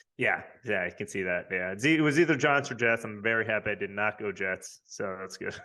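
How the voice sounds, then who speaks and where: Speaking at a fairly quick pace, a man with a slight Long Island accent uses a fairly low pitch and ordinary pitch variation. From New York, Long Island. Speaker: fantasy football league member. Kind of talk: casual interview. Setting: podcast.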